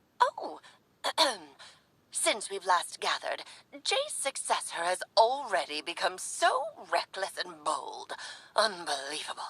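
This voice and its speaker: Using a put-on character voice, a woman of medium pitch speaks at a fairly slow pace, leaving long, frequent pauses. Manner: reproachful, weary.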